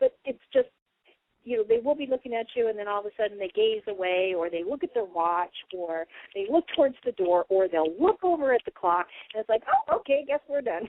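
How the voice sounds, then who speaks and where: With very wide pitch swings, a woman speaks at a fairly high pitch. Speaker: radio show host and spiritual channeler. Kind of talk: casual radio talk. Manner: fast.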